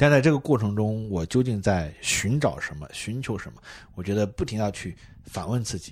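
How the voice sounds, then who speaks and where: A man's animated, somewhat breathy voice, fairly low in pitch, at a moderate pace with big swings in loudness, in a very clean recording with a silent background. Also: lively intonation. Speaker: marketing executive guest. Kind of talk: casual chat. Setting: airport.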